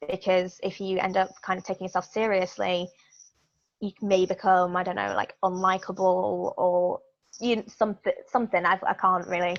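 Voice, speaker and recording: In an English accent, the delivery keeps a monotone, flat intonation. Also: woman. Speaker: pro wrestler. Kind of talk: interview. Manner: halting.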